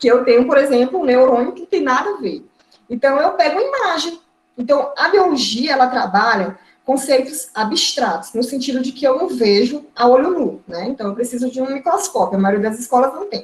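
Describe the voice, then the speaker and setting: A woman speaks in a high voice with lively intonation. Her loudness swings widely. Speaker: biology teacher and course instructor. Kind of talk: online lecture. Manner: fast.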